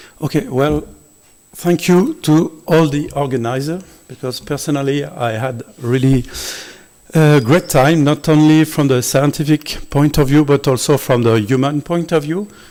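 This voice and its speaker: A man's fairly high, dark, mellow voice with a French accent, a moderate pace and ordinary pitch variation. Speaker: visiting scientist. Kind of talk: closing remarks speech. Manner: halting.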